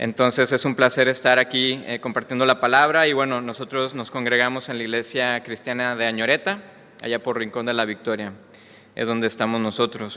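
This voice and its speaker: A man with a slight Mexican accent, fairly even intonation and a fairly quick pace. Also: medium pitch for a man. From Mexico. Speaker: preacher. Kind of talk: sermon. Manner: hesitant with fillers.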